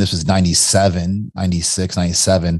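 A man's very deep, low voice with an American accent, dark and mellow in tone, fairly even in intonation, in a dry, close sound with no echo. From Kentucky, US. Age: 40s. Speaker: entrepreneur. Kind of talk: casual chat.

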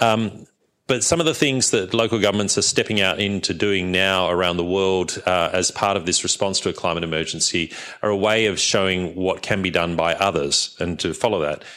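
With an Australian accent, a man talks at a fairly quick pace in a very deep, low pitch, his tone bright and sharp, his loudness very even and his pitch variation ordinary. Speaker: climate policy researcher. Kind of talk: panel discussion talk. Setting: stage with audience.

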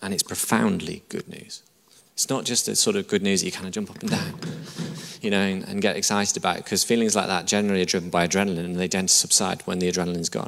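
A man with a northern English accent talks at a very fast pace. Noticeable background noise runs underneath. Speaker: church pastor preaching a sermon. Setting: church service, live audience. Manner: emphatic, repetitive, conversational preaching.

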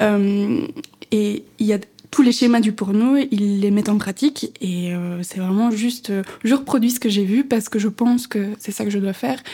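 A woman speaks in a fairly high pitch. Noticeable background noise runs underneath. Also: ordinary pitch variation, moderate pace. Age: 20s. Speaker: podcast co-host. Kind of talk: casual chat.

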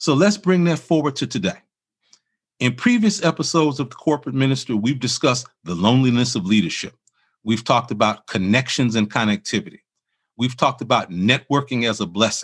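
Over a quiet background, a man with an American accent uses an ordinary speaking voice at medium pitch, talking at a fairly quick pace with lively intonation. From Chicago, US Midwest. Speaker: podcast host and minister. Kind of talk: interview and scripted reflection.

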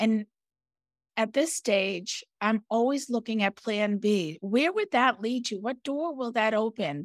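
A plain, everyday voice moves at a fairly slow pace with lively intonation. The recording is very clean with a silent background and a dry, close sound with no echo. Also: woman, fairly high pitch for a woman. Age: 50s. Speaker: podcast co-host, business owner. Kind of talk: casual chat.

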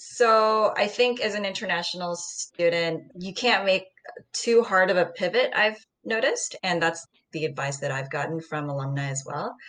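In an American accent, a woman uses an ordinary speaking voice at medium pitch, with lively intonation and a moderate pace. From US Midwest (Ohio), born in Seoul. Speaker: MBA student, former journalist. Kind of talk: casual chat.

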